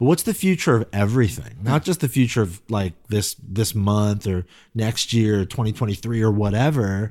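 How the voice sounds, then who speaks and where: The recording is very clean, with a silent background. A man speaks in a Californian accent at a fairly low pitch with ordinary pitch variation. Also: moderate pace. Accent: General American, California. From US West Coast, Silicon Valley. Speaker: pastor. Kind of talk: interview conversation. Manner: halting, frequent repetitions.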